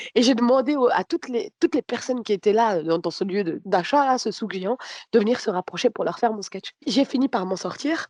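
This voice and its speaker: In a dry, close recording with no echo, a woman with a fairly high pitch talks at a fairly quick pace with lively intonation. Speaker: comedian. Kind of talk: casual chat.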